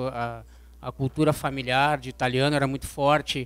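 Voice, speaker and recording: The man talks at a moderate speed. His delivery stays monotone and flat. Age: 40s. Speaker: physical education teacher. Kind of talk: personal testimony. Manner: hesitant, many fillers.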